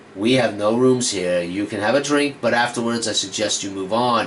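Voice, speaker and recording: A man's gruff, growling put-on character voice at medium pitch and moderate pace, over clear background noise. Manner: growling, gruff.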